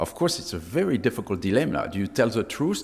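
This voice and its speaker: A man with a French accent, talking at a very fast pace. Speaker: sleep medicine professor. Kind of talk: conference talk.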